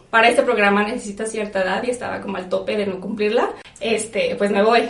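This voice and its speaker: A woman with a Mexican accent at a fairly quick pace, with audible room echo and noticeable background noise. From Mexico. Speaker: podcast guest. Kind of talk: casual chat.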